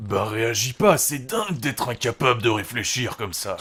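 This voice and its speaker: At a moderate pace, a man performs a put-on character voice. His pitch sits in the medium range. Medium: audio drama. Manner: blunt, crude, slow-witted.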